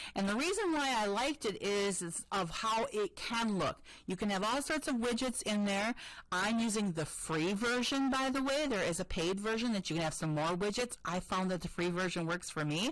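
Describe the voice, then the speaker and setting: An unremarkable speaking voice from a woman with an American accent, medium in pitch, with lively intonation, very even loudness and a moderate pace. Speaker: school technology integration specialist. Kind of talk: tutorial presentation. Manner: casual, with many fillers.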